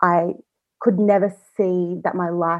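A woman speaks in an unremarkable speaking voice. Her pitch is medium, with fairly even intonation. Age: 20s. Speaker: guest sharing personal experience with PMDD. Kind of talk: interview testimony.

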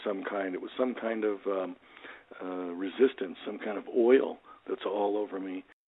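In a plain, everyday voice, a man talks fairly quickly with ordinary pitch variation. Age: 60s. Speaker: motivational speaker and author. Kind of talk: casual interview, storytelling.

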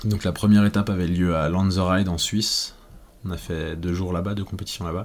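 A man talks at a fairly quick pace. His very deep, low voice stays monotone and flat. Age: 20s. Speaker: former cross-country skier. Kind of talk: interview. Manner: hesitant.

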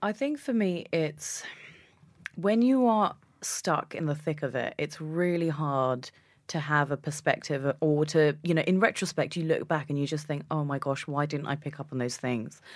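A woman's very deep, low voice with a British accent, at a moderate pace with ordinary pitch variation. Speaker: journalist and weightlifter. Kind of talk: interview chat.

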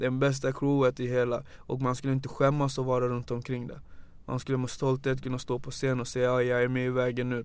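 Speaking at a fairly quick pace, a man holds a medium pitch in a monotone, flat intonation. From Gambia. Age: 30s. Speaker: youth organisation founder. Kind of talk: casual interview.

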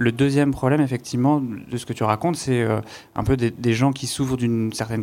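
At a very fast pace, a man speaks with a medium pitch and fairly even intonation in a very clean recording with a silent background. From France, Paris suburbs (Saint-Denis). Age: 20s. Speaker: psychiatrist and entrepreneur. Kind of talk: panel talk. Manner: stammering repetitions.

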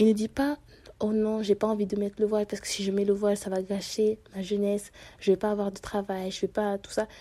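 A woman's dark, mellow voice sits at medium pitch, flat and monotone, moving at a fairly quick pace. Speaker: podcaster. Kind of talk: personal monologue. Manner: halting.

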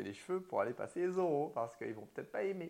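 Vocal fry runs through a man's voice as it makes very wide pitch swings. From Martinique. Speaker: hairdresser and business owner. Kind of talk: interview.

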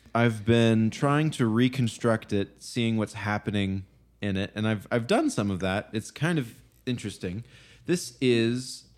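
A man with an unremarkable speaking voice talks at a fairly slow pace and medium pitch, with ordinary pitch variation. The recording is very clean, with a silent background. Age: 20s. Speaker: music podcast host and producer. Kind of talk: casual chat. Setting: home kitchen.

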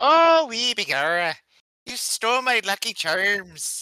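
A put-on character voice with a fairly high pitch moves at a fairly slow pace. The recording is very clean with a silent background. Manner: playful, mock-indignant.

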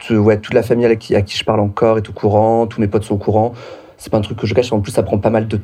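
Against noticeable background noise, a man with a fairly low pitch talks at a very fast pace with fairly even intonation. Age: 30s. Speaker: drag performer. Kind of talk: casual chat.

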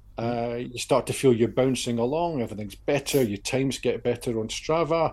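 A man speaks with a British accent at a moderate pace. The background is quiet. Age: 50s. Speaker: podcast co-host, endurance walker. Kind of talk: casual chat.

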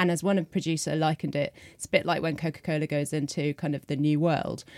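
On a very clean recording with a silent background, a woman with a British accent speaks at a very fast pace in a very deep, low pitch. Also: dry, close sound with no echo. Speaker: journalist. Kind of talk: panel discussion.

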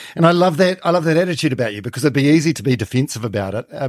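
Very fast and with lively intonation, a man with a New Zealand accent comes through a very clean recording, the sound dry and close with no echo and the background silent. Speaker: podcast host. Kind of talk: interview.

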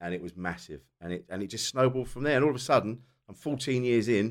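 A man talks at a very fast pace with a southern English accent. The recording is very clean, with a silent background. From South East England. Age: 40s. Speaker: comedian. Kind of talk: casual chat.

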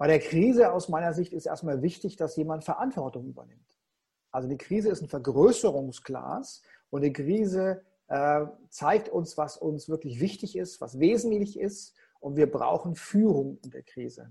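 Lively intonation and big swings in loudness mark this dark, mellow voice at a moderate pace on a very clean recording with a silent background. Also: man, fairly high pitch for a man. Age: 50s. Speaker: keynote coach and speaker. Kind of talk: interview. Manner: expressive.

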